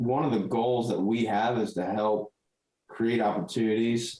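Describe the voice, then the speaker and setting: A man has an unremarkable speaking voice at a medium pitch. He keeps a moderate pace. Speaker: podcast host. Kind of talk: casual podcast conversation.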